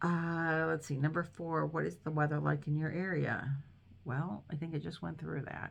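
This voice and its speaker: A woman with an Inland North accent speaks at a moderate pace. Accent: US Midwest (Inland North). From Northern Ohio, Cleveland. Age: 60s. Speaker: crochet vlogger. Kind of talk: casual chat. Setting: dining room at home. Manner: hesitant, many fillers.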